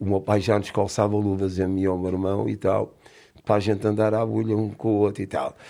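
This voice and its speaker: In a dark, mellow tone, the voice runs at a fairly quick pace with monotone, flat intonation. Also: man, fairly low pitch for a man. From Portugal, Lisbon. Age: 60s. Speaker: boxing coach, former boxer. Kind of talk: casual interview chat.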